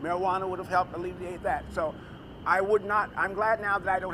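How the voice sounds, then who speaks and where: Noticeable background noise sits under this recording. A man with a high pitch speaks at a very fast pace. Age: 60s. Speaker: patient advocate. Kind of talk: press conference speech. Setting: press conference. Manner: halting.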